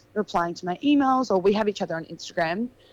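A woman is speaking. She has an Australian accent. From Australia, Adelaide Hills. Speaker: model. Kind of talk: casual chat.

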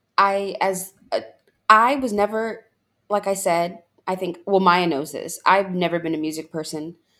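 This woman's voice has a bright, sharp tone and a fairly low pitch. She keeps a moderate pace with ordinary pitch variation. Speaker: guest, friend of the host. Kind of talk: casual chat.

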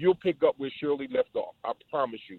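A man speaks at a fairly quick pace with lively intonation. It is an unremarkable speaking voice. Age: 60s. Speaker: radio caller. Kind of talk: call-in comment. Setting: phone call.

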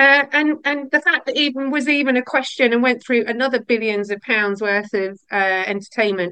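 At a moderate pace with hardly any pauses, the voice sounds bright and sharp and shows ordinary pitch variation. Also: woman, high pitch for a woman. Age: 50s. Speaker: podcast host and survivor advocate. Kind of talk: casual chat.

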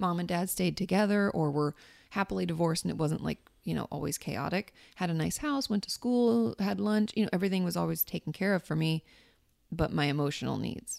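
A woman with a fairly low pitch and an ordinary speaking voice talks at a fairly quick pace with lively intonation. The sound is dry and close with no echo, on a very clean recording with a silent background. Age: 30s. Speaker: therapist. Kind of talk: casual chat.

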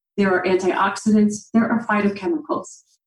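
A woman with an American accent races along at a very fast pace, her fairly high voice somewhat breathy and her intonation lively. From central Illinois, US Midwest. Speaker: dietitian and personal trainer, breast cancer survivor. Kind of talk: interview, informative explanation. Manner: animated.

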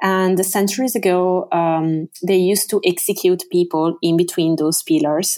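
Delivered at a fairly slow pace with fairly even intonation, the speech comes in a very clean recording with a silent background. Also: woman. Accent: Italian. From Venice area, Italy. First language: Italian. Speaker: tour guide. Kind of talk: interview.

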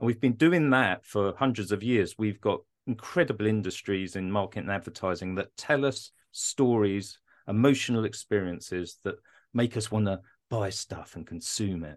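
A man's fairly low voice in a British accent, at a moderate pace with ordinary pitch variation, against a quiet background. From UK. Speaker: product designer. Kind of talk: interview.

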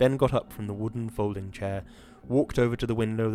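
Straightforward reading aloud

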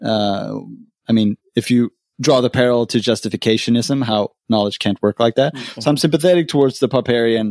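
A man speaks with a Swedish accent at a medium pitch. The sound is dry and close with no echo, on a very clean recording with a silent background. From Sweden. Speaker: podcaster. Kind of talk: casual chat.

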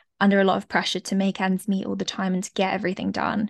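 Against a quiet background, a woman with a London accent speaks in a dry, close sound with no echo. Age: 20s. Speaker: former doctor turned life coach. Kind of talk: interview conversation.

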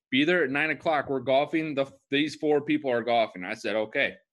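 This is an ordinary speaking voice. The intonation is lively. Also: man. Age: 20s. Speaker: podcast co-host. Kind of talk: casual chat.

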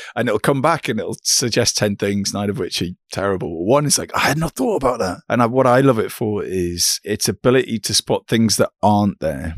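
A man with a plain, everyday voice and lively intonation at a fairly quick pace with hardly any pauses, on a very clean recording with a silent background and a dry, close sound with no echo. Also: medium pitch for a man. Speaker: podcast host and company founder. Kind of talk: interview. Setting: call.

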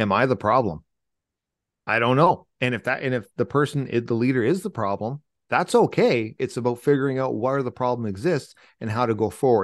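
In an unremarkable speaking voice, a man at medium pitch talks at a fairly quick pace with ordinary pitch variation against a quiet background. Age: 40s. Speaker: military veteran and leadership speaker. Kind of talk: interview.

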